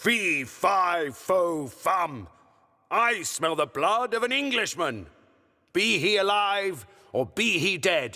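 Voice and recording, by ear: A man puts on a character voice at a high pitch. He talks very slowly.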